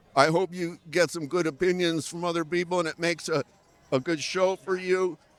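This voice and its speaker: Over music in the background, a man with a high pitch talks at a fairly quick pace in a dry, close sound with no echo. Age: 70s. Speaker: protester. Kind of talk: street interview. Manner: animated.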